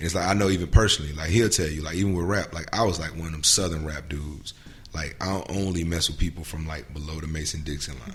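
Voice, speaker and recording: A man with a very deep, low voice talks at a very fast pace. Audible room echo and noticeable background noise fill the recording. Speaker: hip-hop artist. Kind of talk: casual chat. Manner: animated.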